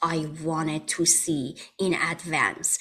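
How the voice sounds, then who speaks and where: A woman with a Persian accent, set against noticeable background noise. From Iran. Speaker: holistic wellness practitioner. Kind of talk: interview.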